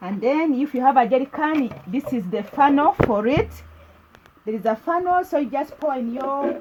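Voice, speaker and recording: Noticeable background noise sits behind a woman speaking with a Ugandan accent. Her high-pitched voice has lively intonation and moves at a moderate pace. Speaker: lifestyle vlogger. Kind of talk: video tour. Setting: village kitchen. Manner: casual, repetitive.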